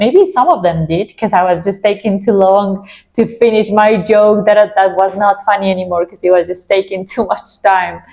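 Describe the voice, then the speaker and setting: In a non-native accent, a woman speaks with a dark, mellow tone and fairly even intonation. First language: Spanish. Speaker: vlogger. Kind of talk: casual chat.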